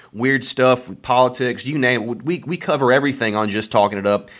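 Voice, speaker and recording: A man talks in a Southern US accent at a moderate pace. His pitch is medium, with ordinary variation. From Alabama, US South. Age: 20s. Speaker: podcast producer and engineer. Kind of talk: casual chat.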